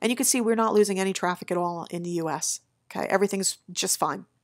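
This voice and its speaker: On a very clean recording with a silent background, a woman speaks very fast in an upbeat tone at a medium pitch. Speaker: SEO agency owner. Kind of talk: screen-share tutorial. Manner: casual, upbeat.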